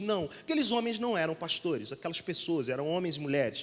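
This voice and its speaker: A man with a Rio de Janeiro accent, lively intonation and a fairly quick pace. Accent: carioca. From Rio de Janeiro, Brazil. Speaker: pastor. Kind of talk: sermon.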